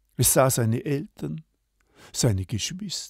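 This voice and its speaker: A very slow, calm, gentle male voice, somewhat breathy with a dark, mellow tone, in a dry, close sound with no echo on a very clean recording with a silent background. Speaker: storyteller. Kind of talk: bedtime-style fairy tale storytelling, read aloud. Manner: calm, slow, gentle storyteller pacing with character voices.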